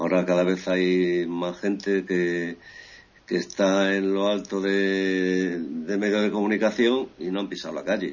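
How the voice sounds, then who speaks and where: In a flat monotone, a man with a very deep, low voice speaks at a fairly slow pace. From Equatorial Guinea, born in Ferrol, Spain. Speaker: journalist. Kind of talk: interview.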